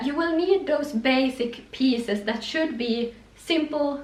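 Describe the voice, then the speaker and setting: A woman speaks in a Swedish accent with ordinary pitch variation. Audible room echo and noticeable background noise surround her. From Finland, Swedish-speaking. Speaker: fashion youtuber. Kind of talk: styling tutorial vlog. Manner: casual, some false starts.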